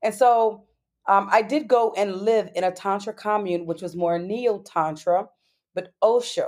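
Speaking with an American accent in an unremarkable speaking voice, a woman talks at a fairly slow pace in a medium pitch with ordinary pitch variation. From New York. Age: 40s. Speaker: tantra teacher. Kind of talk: interview.

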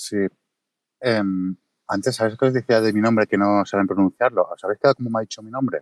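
A man's medium-pitched, monotone, flat voice at a fairly quick pace, with long, frequent pauses and a dry, close sound with no echo. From Catalonia, Mataró. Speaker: video creator. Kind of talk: casual chat. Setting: Twitter Space audio room.

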